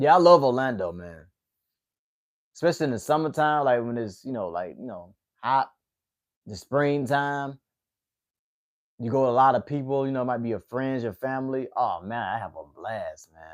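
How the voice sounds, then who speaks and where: A man with a Southern accent speaks with lively intonation, long and frequent pauses, and big swings in loudness. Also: medium pitch for a man, moderate pace. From US South, Atlanta, Georgia. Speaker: MMA livestream host. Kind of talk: casual chat with live chat viewers. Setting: livestream.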